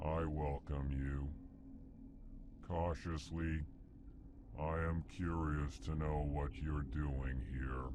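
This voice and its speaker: Loud background noise sits under a man's put-on character voice. He speaks at a very slow pace with long, frequent pauses. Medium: video game. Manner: prefaces lines with emotion words, formal.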